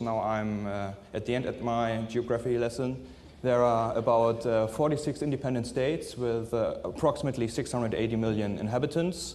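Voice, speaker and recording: In a recording with audible room echo, a man talks at a fairly quick pace. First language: not English. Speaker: forensic scientist. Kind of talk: conference presentation. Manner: halting, many filler sounds.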